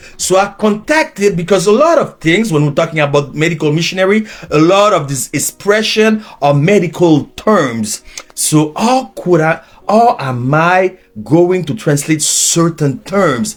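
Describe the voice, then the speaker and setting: With a Haitian accent, a man speaks at a high pitch and a fairly slow pace, his intonation lively. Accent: Haitian Creole-accented English. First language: Haitian Creole. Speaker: preacher and teacher. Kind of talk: sermon.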